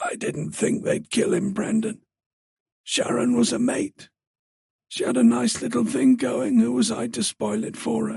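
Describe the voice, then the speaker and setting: A put-on character voice, raspy and whispering. It moves at a moderate pace and sounds strained. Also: man. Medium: read story.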